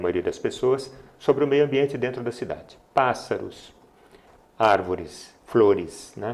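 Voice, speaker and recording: At a fairly slow pace, the voice shows ordinary pitch variation. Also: man. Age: 60s. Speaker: poet and retired geologist. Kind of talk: interview. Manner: halting.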